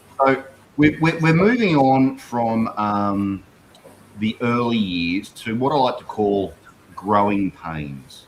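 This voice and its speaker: A man's medium-pitched voice with an Australian accent, lively intonation and a very slow pace. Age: 50s. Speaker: livestream host. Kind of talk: livestream interview, casual chat.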